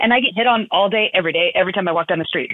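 A woman talks very fast with a fairly low pitch and ordinary pitch variation. The sound is dry and close with no echo.

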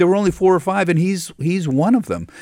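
This man has an American accent. His delivery is very fast. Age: 60s. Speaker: financial TV correspondent. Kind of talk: radio interview. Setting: studio.

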